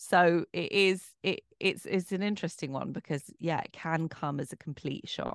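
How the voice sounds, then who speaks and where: Hardly pausing, a woman speaks at a moderate pace with fairly low pitch and ordinary pitch variation. The sound is dry and close with no echo, over a quiet background. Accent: English. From Bromley, south-east London, England. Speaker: author, actress and broadcaster. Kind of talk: interview conversation.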